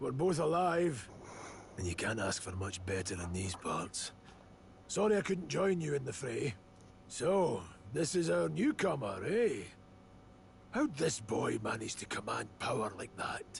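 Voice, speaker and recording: Raspy put-on character voice, very wide pitch swings, moderate pace, long and frequent pauses, clear background noise. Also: man, medium pitch for a man. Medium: video game. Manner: blunt, gruff.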